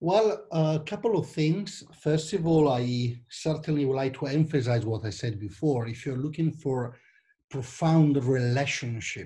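A man with an Italian accent speaks at a fairly slow pace and a fairly high pitch. His tone is dark and mellow, and somewhat breathy. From Italy. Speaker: church small-group leader. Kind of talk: interview. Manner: halting.

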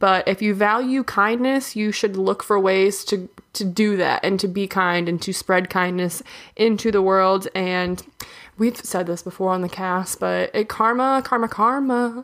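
With a plain, everyday voice, a woman speaks at medium pitch and with fairly even intonation in a very clean recording with a silent background. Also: fairly slow pace. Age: 20s. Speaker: podcast co-host. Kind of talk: casual chat.

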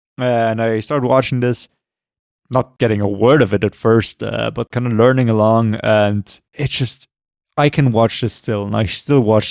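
A man with a non-native accent speaks at a moderate pace in a medium pitch with fairly even intonation. The recording is very clean with a silent background and a dry, close sound with no echo. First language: not English. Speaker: movie podcast co-host. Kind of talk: casual chat.

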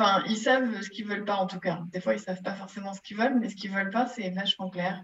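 With hardly any pauses, a woman talks at a very fast pace in a medium pitch and fairly even intonation. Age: 50s. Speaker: innovation and digital transformation expert. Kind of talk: interview. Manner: hesitant, many filler pauses.

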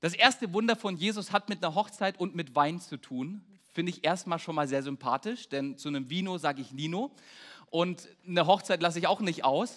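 Speaking at a moderate pace, this man has a high pitch and ordinary pitch variation. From Baden-Württemberg. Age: 20s. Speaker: pastor. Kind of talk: sermon. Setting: church.

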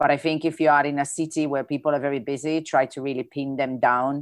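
A woman with an Italian accent and a very deep, low pitch speaks at a fairly quick pace in an animated, enthusiastic tone. The sound is dry and close with no echo over a quiet background. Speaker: event host. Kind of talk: casual moderated Q&A. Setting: video call.

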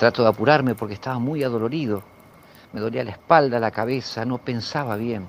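Fairly quick and fairly even in intonation, a man talks with a Rioplatense accent. His pitch is medium. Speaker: storyteller sharing a paranormal experience. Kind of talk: first-person storytelling. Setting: outdoors in a backyard.

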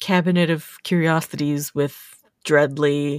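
Recorded dry and close with no echo, a woman speaks over a silent background in a very clean recording. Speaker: podcast host. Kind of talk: casual chat.

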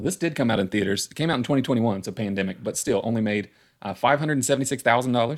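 A man with an American accent at a medium pitch, very fast, with ordinary pitch variation and big swings in loudness, on a very clean recording with a silent background. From West Virginia. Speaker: podcast host. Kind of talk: casual chat.

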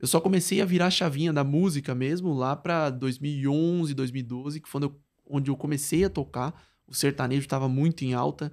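Delivered at a moderate pace, an ordinary speaking voice shows big swings in loudness and fairly even intonation on a very clean recording with a silent background. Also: man, fairly high pitch for a man. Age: 20s. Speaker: product designer and musician. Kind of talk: casual interview.

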